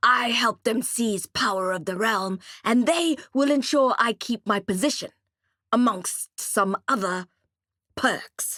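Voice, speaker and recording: A female-sounding voice puts on a gruff character voice. It is fairly high-pitched for a woman and moves at a fairly slow pace. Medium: read story. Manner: blunt, gruff.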